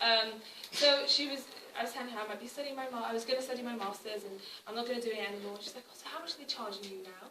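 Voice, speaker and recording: A woman's fairly high-pitched voice at a very fast pace, with ordinary pitch variation, big swings in loudness, audible room echo, and noticeable background noise. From Wales, Cardiff. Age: 20s. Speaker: activist. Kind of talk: public talk. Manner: halting, many fillers and repeats.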